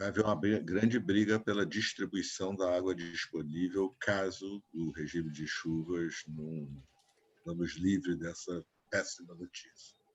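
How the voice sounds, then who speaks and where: The man's pitch is very deep and low. He talks at a fairly slow pace with fairly even intonation. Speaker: meeting participant. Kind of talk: online meeting remark.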